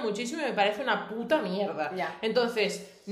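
A woman speaks at a moderate pace in a fairly high voice with ordinary pitch variation, against noticeable background noise. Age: 20s. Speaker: podcast co-host. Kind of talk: casual chat.

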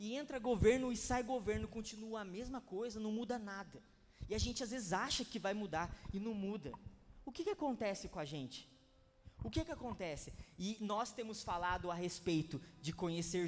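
A man speaks with a high pitch and lively intonation. His loudness swings widely. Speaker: pastor. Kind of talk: sermon. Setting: church conference. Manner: casual, repetitive.

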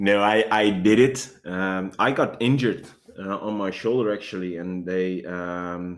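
The speech comes at a fairly slow pace with fairly even intonation. Room echo is audible. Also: man, very deep, low pitch for a man. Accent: Dutch. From Netherlands. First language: Dutch. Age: 30s. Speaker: police dog handler. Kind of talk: interview.

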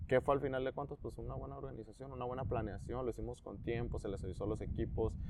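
Using lively intonation, a man speaks very fast at a medium pitch. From Tecate, Baja California, Mexico. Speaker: sports coach. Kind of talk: casual interview.

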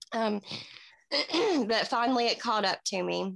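A woman speaks in an Appalachian accent at a medium pitch. The sound is dry and close, with no echo. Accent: US Southern (Appalachian). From Tennessee. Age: 30s. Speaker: recovering addict and mother. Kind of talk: interview. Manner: halting, with many fillers.

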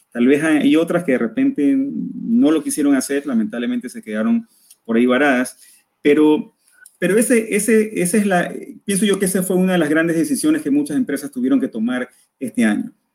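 A man's high-pitched voice moves at a fairly quick pace, his pitch swinging very widely. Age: 20s. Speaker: university lecturer and entrepreneur. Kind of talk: casual interview. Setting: live stream video call.

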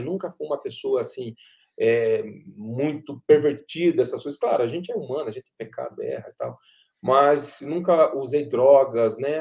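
The speaker is a man. He keeps to a moderate pace. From São Paulo state, Brazil (Pindamonhangaba). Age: 40s. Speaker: guitarist and music producer. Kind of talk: casual interview on a live stream.

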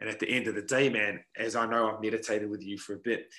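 A man speaks very fast with a New Zealand accent. His tone is bright and sharp, at a medium pitch. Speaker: podcast host, mental performance coach. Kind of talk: casual chat.

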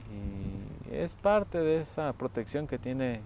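A man's dark, mellow tone with lively intonation. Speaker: podcaster. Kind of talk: reflective monologue. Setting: outdoors in nature.

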